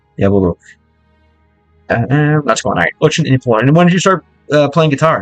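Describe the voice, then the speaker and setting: A man talks at a fairly quick pace with lively intonation. Music plays in the background, and the sound is dry and close with no echo. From American. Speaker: vlogger reacting to Russian music, learning Russian. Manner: hesitant, stumbling when speaking Russian.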